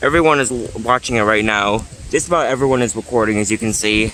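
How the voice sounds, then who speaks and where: The speaker keeps a moderate pace with ordinary pitch variation. Noticeable background noise can be heard. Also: man. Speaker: vlogger. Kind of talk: casual vlog commentary. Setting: outdoors on a beach. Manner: excited; soft-spoken.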